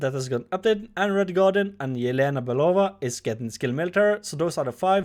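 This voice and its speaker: A man's high-pitched voice, very fast and with hardly any pauses, full of lively intonation. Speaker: gaming YouTuber. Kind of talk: game update commentary. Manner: halting, self-correcting.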